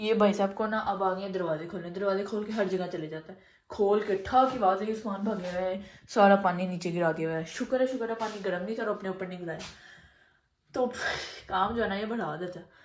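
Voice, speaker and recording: This woman speaks fairly quickly at a medium pitch. Room echo is audible. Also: fairly even intonation. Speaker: family vlogger. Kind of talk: casual vlog narration. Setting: home kitchen.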